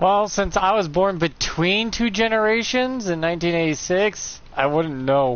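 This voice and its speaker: In an American accent, a man with a high pitch speaks at a fairly slow pace, the sound dry with no echo. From United States. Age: 30s. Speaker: gaming streamer. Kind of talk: casual gameplay commentary. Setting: live stream. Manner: rambling, conversational. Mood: opinionated, ranting.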